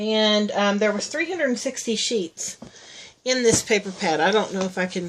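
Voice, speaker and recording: A woman speaks at a moderate pace and a medium pitch, with ordinary pitch variation over noticeable background noise. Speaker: crafting YouTuber. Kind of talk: tutorial. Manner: hesitant, many fillers.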